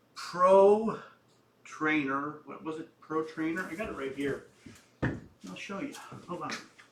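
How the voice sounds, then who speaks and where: With audible room echo, a man speaks at a fairly slow pace and a fairly high pitch, using ordinary pitch variation while his loudness swings widely. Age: 70s. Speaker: flight sim hobbyist video maker. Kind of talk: casual tutorial-style vlog. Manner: halting, with many fillers.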